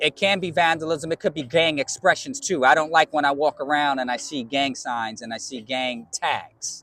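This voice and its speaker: With a New York accent, this man talks at a moderate pace with hardly any pauses, his fairly high pitch and bright, sharp tone showing ordinary pitch variation in a dry, close sound with no echo. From New York (Bronx). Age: 50s. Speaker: DJ. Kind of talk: interview. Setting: community college campus.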